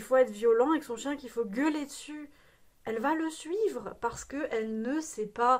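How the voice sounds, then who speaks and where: High-pitched and animated in tone, a woman speaks at a moderate pace with ordinary pitch variation. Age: 30s. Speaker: dog trainer. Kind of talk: vlog monologue. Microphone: no microphone, sound issue.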